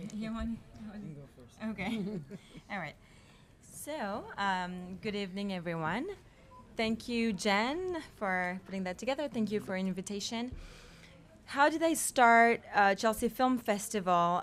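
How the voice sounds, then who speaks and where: A woman with a French accent, medium pitch and lively intonation, at a fairly slow pace with long, frequent pauses. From France. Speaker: film festival founder. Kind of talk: panel discussion.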